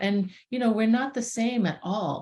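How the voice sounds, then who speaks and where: A somewhat breathy woman at a fairly slow pace, over a quiet background. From Boston, US. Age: 60s. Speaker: herbalist. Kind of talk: interview. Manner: halting.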